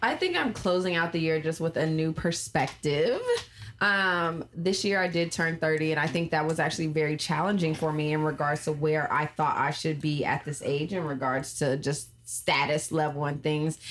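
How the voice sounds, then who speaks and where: Against noticeable background noise, a woman with an American accent speaks at a moderate pace, her very deep, low pitch held in fairly even intonation. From Los Angeles, California. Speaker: podcast host. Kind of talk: casual chat.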